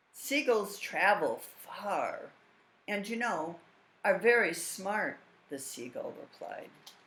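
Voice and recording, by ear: With lively intonation, the speaker is reading aloud in a natural voice.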